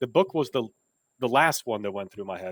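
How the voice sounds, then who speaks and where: Lively in his intonation, a man comes through in a dry, close sound with no echo on a very clean recording with a silent background. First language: not English. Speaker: software engineer and author. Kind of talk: interview. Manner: many fillers and restarts.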